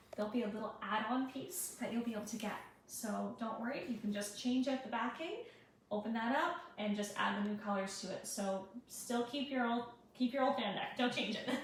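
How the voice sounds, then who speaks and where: Soft-spoken and fairly high-pitched, a woman talks at a fairly quick pace with ordinary pitch variation as room echo is audible. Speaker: paint brand presenter. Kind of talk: live product demo.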